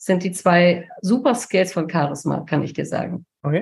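Over a quiet background, a woman speaks at medium pitch in a somewhat breathy voice with ordinary pitch variation. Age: 50s. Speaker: communication and charisma coach. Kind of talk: casual chat.

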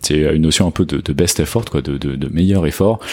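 At a fairly quick pace, a man with a very deep, low pitch speaks with ordinary pitch variation on a very clean recording with a silent background. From France. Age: 30s. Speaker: software engineering manager. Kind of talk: casual chat.

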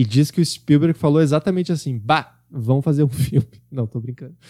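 Talking very fast, a man with a fairly high pitch and a dark, mellow tone is heard in dry, close sound without echo. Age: 20s. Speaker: podcast host. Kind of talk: book review monologue.

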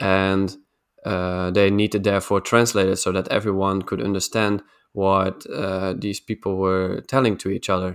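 A speaker with a Dutch accent talks at a moderate pace with fairly even intonation. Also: man, fairly low pitch for a man. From Netherlands. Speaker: podcast co-host. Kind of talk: casual chat. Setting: video call. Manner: halting.

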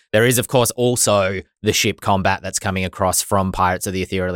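In a very clean recording with a silent background and a dry, close sound with no echo, a man talks with an Australian accent. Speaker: podcast host. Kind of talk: casual chat.

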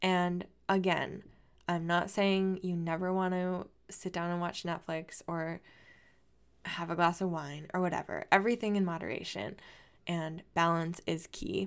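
An unremarkable speaking voice with fairly even intonation at a fairly slow pace, on a very clean recording with a silent background. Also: woman, fairly low pitch for a woman. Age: 20s. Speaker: dancer and personal trainer podcast host. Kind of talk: solo podcast monologue. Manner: casual, chatty with frequent fillers.

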